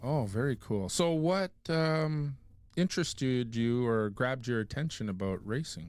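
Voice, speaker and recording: In a plain, everyday voice, the speaker uses lively intonation at a fairly slow pace, in a very clean recording with a silent background. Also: man, medium pitch for a man. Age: 60s. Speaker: podcast host. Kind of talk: casual interview.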